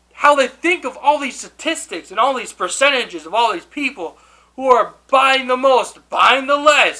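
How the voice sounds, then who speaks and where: Projected and raised, a man's extremely high voice carries a bright, sharp tone and lively intonation at a fairly slow pace. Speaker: YouTuber. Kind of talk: casual rant to camera.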